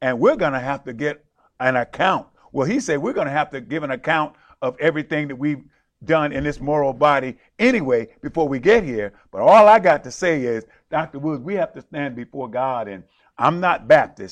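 Against a quiet background, a man with a fairly high voice talks in an animated tone, his intonation lively and his loudness swinging widely. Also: fairly quick pace. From rural South Carolina, then New York City. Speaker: preacher and show host. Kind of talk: sermon-style devotional talk and interview. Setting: studio, live broadcast. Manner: animated, exclamatory, fervent.

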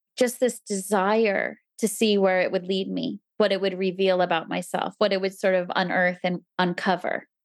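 With hardly any pauses, a woman with a New Jersey accent speaks at a moderate pace in a medium pitch and monotone, flat intonation, in a very clean recording with a silent background. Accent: American (New Jersey). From US East Coast, New Jersey. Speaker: temple resident, mother. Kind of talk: casual interview chat.

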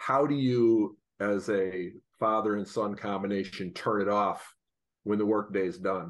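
A man with an ordinary speaking voice talks at a fairly slow pace and fairly low pitch. His intonation stays fairly even over a quiet background. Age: 60s. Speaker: financial advisor co-host. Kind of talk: interview.

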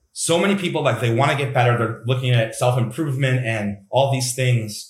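A somewhat breathy man's voice at medium pitch and a moderate pace. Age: 30s. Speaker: mental health coach. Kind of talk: interview.

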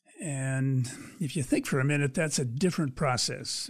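A man's fairly high, unremarkable speaking voice in an American accent, with ordinary pitch variation. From Pennsylvania. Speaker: sculpture artist. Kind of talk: interview.

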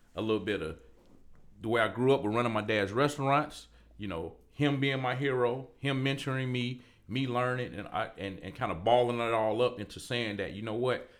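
With ordinary pitch variation, a normal speaking voice goes along at a fairly quick pace. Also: man, medium pitch for a man. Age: 40s. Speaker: barber and entrepreneur. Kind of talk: interview conversation.

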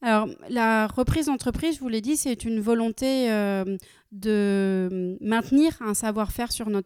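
A woman speaks at a fairly slow pace with a fairly high pitch and ordinary pitch variation, on a very clean recording with a silent background. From France, Nancy (Lorraine). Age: 30s. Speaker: company director. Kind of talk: interview. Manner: frequent hesitations (euh).

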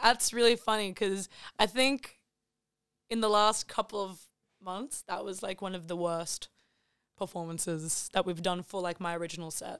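On a very clean recording with a silent background, a woman talks at a moderate pace with long, frequent pauses and big swings in loudness. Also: medium pitch for a woman, ordinary pitch variation, dry, close sound with no echo. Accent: Australian. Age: 20s. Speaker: singer-songwriter. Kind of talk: casual chat.

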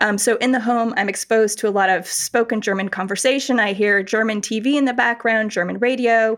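Hardly pausing, a woman with an American accent uses a normal speaking voice, fairly high-pitched, with fairly even intonation and very even loudness. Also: fairly quick pace. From North America (US, studied in Buffalo, New York). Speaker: professor. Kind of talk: interview.

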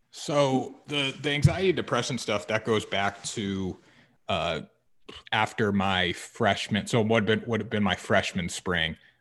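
A man with an American accent and a plain, everyday voice, fairly low in pitch, lively in intonation, fairly slow in pace, on a very clean recording with a silent background. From Connecticut. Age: 20s. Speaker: podcaster and former college football player. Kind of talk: interview.

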